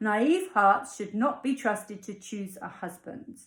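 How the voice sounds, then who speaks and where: The pace of the woman's speech is fairly slow. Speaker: author reading her own fairy tale. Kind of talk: fairy tale narration with character dialogue. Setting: at home, evening.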